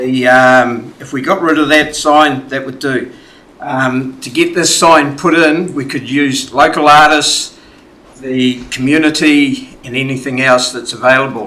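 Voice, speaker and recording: With a New Zealand accent, a man speaks at a fairly slow pace in a fairly high pitch, his intonation fairly even, while audible room echo and noticeable background noise surround him. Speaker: community submitter at council hearing. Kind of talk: public submission. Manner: loud.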